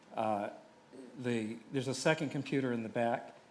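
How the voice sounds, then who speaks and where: A man speaks in an American accent at a moderate pace. Audible room echo is present. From US South, Chattanooga, Tennessee. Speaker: cinematographer and producer. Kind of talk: conference presentation.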